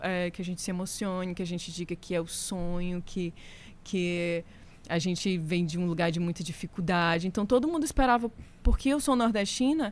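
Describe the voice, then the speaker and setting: A woman with a Ceará accent speaks in a fairly low pitch with ordinary pitch variation. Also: moderate pace, very clean recording, silent background. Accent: northeastern Brazilian (Ceará). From Brazil, Fortaleza, Ceará. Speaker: singer and guitarist. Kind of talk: casual podcast interview. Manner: animated.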